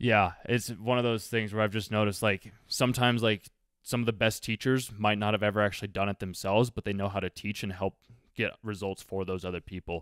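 An ordinary speaking voice with an American accent moves at a fairly quick pace, its intonation fairly even, in a dry sound with no echo over a quiet background. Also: man, fairly low pitch for a man. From Colorado. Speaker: student doing market research cold call; host interviewing a guest. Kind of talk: casual phone interview. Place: home room.

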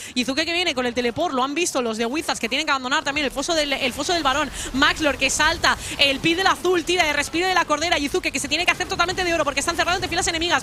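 Speaking at a very fast pace, a woman with an extremely high pitch raises and projects her voice in an animated tone, her pitch varying in an ordinary way over noticeable background noise. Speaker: esports caster. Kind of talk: live esports commentary. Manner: fast, breathless play-by-play, animated; witty, jokes with magic-school and fable references.

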